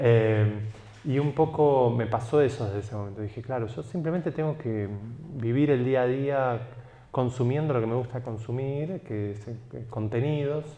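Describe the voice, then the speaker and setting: With a Rioplatense accent, a man speaks in a dark, mellow tone at a medium pitch with ordinary pitch variation. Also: moderate pace. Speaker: writer. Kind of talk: talk. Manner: animated.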